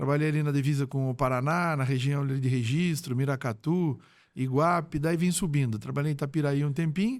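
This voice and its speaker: In a very clean recording with a silent background, an unremarkable speaking voice moves at a fairly quick pace with fairly even intonation. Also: man, fairly high pitch for a man. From Brazil, Sorocaba (São Paulo state). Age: 60s. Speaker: retired police chief. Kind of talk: podcast interview.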